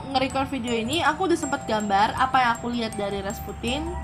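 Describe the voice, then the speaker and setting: A woman shouts loudly at a very fast pace. Music plays in the background. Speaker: paranormal/mystery podcast host. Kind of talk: casual chat. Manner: loud, shouting to be heard.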